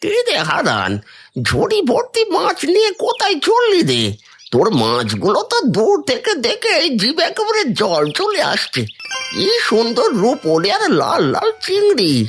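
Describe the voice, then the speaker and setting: A cartoonish character voice at a moderate pace, with faint music in the background. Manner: folksy, sermonizing.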